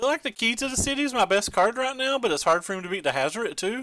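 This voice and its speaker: A raised, projected man's voice with a bright, sharp tone, lively intonation and a very fast pace, in a dry, close sound with no echo. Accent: Eastern Kentucky. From Eastern Kentucky, US. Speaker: game streamer. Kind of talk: live gameplay commentary. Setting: live stream. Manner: casual, thinking aloud with fillers.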